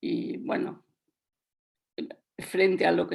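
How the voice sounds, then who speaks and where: A woman speaks at a very slow pace with vocal fry. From Latin America. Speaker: children's book author. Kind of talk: radio panel discussion.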